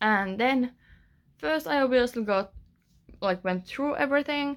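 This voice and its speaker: A woman with a Finnish accent and lively intonation. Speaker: author. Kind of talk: casual vlog. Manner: hesitant, many fillers.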